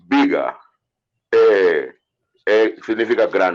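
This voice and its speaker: A man speaks with a non-native accent. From Antigua. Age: 50s. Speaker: reggae singer. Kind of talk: casual interview.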